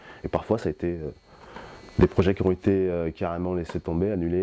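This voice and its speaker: A dark, mellow tone carries the speech along at a fairly quick pace. There is no echo, and the sound is dry and close. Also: man. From French Antilles, raised in France. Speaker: record shop owner. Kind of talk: interview. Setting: record shop. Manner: hesitant, many fillers.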